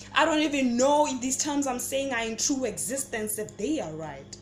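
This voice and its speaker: A woman is speaking with ordinary pitch variation. Background noise is noticeable. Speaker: spoken word poet. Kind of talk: spoken word poetry performance.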